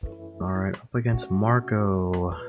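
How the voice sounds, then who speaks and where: A man is speaking. His pitch is very deep and low, with music in the background. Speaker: card game content creator. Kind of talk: casual gameplay commentary.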